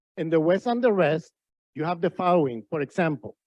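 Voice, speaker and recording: In a Spanish accent, a man speaks with a dark, mellow tone in a dry, close sound with no echo. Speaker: professor. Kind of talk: panel discussion. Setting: conference with audience.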